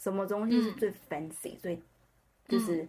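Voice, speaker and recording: A somewhat breathy woman's voice. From Taiwan. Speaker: customer success professional. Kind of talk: personal story interview. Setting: remote recording.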